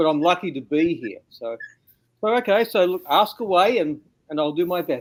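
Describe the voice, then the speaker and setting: A man with an Australian accent, fairly high pitch and ordinary pitch variation. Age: 60s. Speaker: interview guest, bigfoot witness. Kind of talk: interview testimony.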